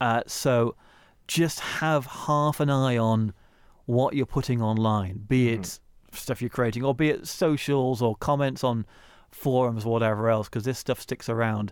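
An ordinary speaking voice, this man's medium pitch moves with ordinary variation at a moderate pace over a very clean recording with a silent background. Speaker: radio production company owner. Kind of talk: interview.

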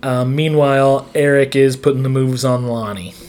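A man with an American accent and medium pitch, speaking at a fairly slow pace over noticeable background noise. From northeastern Montana. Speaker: podcast co-host and teacher. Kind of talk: casual chat.

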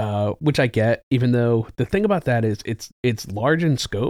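This man has an unremarkable speaking voice at a medium pitch and a fairly slow pace. The sound is dry and close with no echo. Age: 40s. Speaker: movie theater manager. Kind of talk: casual chat. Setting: studio.

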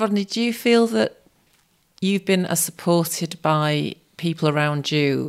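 A woman with an unremarkable speaking voice talks at a fairly slow pace and a fairly low pitch, with lively intonation. The recording is very clean, with a silent background. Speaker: podcast co-host. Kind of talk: podcast interview and intro.

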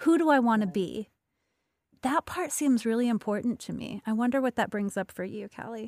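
On a very clean recording with a silent background and a dry, close sound with no echo, a woman with a fairly high pitch speaks at a moderate pace, with ordinary pitch variation and big swings in loudness. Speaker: podcast host. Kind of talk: casual interview chat. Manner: soothing, yoga-teacher voice.

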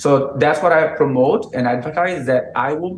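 Over noticeable background noise, a man with a Brazilian accent speaks at a fairly high pitch with ordinary pitch variation. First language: Portuguese. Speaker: dog trainer. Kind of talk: interview.

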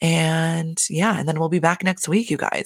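The tone is animated. It is a very clean recording with a silent background. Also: woman. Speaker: podcast host. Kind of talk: casual chat.

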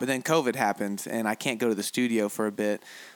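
A man with an American accent talks at a fairly quick pace in a bright, sharp tone. The recording is very clean, with a silent background. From United States. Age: 20s. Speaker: musician and producer. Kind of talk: casual interview.

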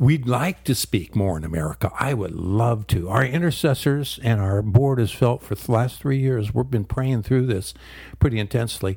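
A man's somewhat breathy, dark, mellow voice at a fairly quick pace with lively intonation. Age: 70s. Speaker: pastor and ministry leader. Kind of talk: radio interview. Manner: hesitant, many filler words.

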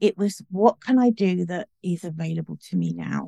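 A woman with a British accent speaks at a fairly slow pace in a dark, mellow tone, and the sound is dry and close with no echo. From UK. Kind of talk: casual interview.

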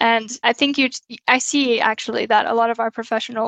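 A woman with an American accent talks at a fairly quick pace in an unremarkable speaking voice, her fairly high pitch held to fairly even intonation, with a dry, close sound, no echo and a quiet background. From United States. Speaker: occupational hygienist. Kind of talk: interview.

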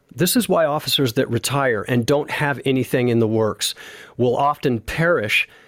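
In a dry, close sound with no echo and a very clean recording with a silent background, a man speaks in an ordinary speaking voice at a medium pitch and moderate pace, with ordinary pitch variation. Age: 50s. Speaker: retired police sergeant and drummer. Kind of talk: casual interview.

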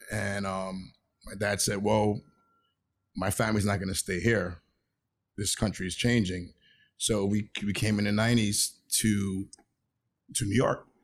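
Speaking in a monotone, flat way at a fairly low pitch, a man leaves long, frequent pauses on a very clean recording with a silent background. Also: fairly slow pace. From Venezuela, raised in Flatbush, Brooklyn. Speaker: brand consultant. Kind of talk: casual interview. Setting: in the Bronx, traffic audible.

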